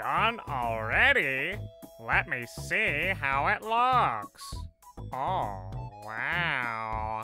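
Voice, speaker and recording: A man at medium pitch speaks at a very slow pace, leaving long, frequent pauses. Faint music plays in the background. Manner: warm, encouraging.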